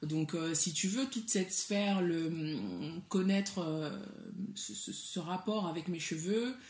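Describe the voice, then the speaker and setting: A woman with a West African accent speaks very slowly, her somewhat breathy voice at a fairly low pitch with ordinary pitch variation. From Mali. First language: Soninke (speaking French). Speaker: entrepreneur, cosmetics brand founder. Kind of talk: interview. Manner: hesitant, many fillers.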